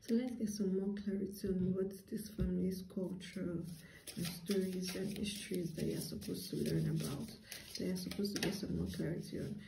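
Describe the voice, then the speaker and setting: A woman talks at a fairly quick pace over noticeable background noise. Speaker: tarot reader. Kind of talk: tarot reading monologue to viewers. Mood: calm, earnest. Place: home room. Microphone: phone near.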